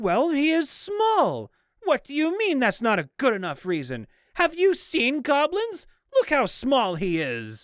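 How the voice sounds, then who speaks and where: A raised, projected, put-on character voice at a fairly slow pace. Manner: haughty, indignant.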